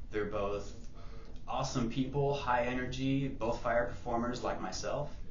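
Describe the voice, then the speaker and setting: Light background noise and audible room echo surround a man speaking with ordinary pitch variation. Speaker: fire performer. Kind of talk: contest video submission. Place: hall. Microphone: camera far.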